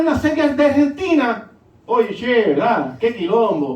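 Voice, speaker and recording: A man with a Puerto Rican accent, extremely high-pitched, animated in tone and lively in intonation, amid noticeable background noise and audible room echo. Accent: Puerto Rican sing-song Spanish. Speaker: pastor. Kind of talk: sermon.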